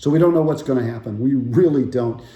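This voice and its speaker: Somewhat breathy, a man's dark, mellow voice carries ordinary pitch variation within audible room echo. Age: 60s. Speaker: financial advisor. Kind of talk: casual market update talk. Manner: conversational with filler words.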